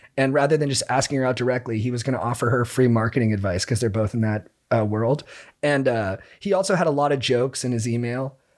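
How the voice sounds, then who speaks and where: Very fast male speech, medium in pitch. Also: ordinary pitch variation. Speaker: podcast co-host. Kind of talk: casual chat.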